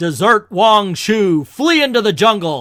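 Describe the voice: A man's put-on character voice, high-pitched for a man, with a fairly bright tone, big pitch swings and a fairly slow pace, on a very clean recording with a silent background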